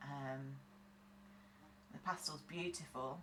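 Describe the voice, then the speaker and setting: A woman with a British accent over noticeable background noise. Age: 40s. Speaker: nail tech tutorial creator. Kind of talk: tutorial. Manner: casual, chatty.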